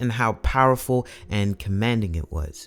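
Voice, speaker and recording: Music plays in the background as a man speaks at a fairly low pitch with lively intonation. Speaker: hip hop commentary host. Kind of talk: video essay narration.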